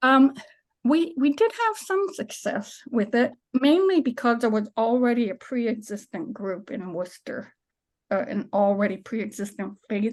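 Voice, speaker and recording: Against a quiet background, a woman with a plain, everyday voice speaks at a moderate pace in a fairly high pitch, with lively intonation. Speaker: minister and climate nonprofit director. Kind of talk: presentation with slides.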